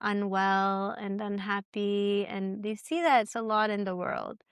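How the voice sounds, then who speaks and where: A woman has a normal speaking voice at a fairly slow pace. The recording is very clean, with a silent background and a dry, close sound with no echo. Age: young. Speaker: podcast host. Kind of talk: interview.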